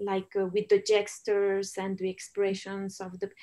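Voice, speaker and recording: With a Spanish accent, a woman talks at a moderate pace in a medium pitch and a dark, mellow tone. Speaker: documentary filmmaker. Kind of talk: Q&A interview. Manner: halting.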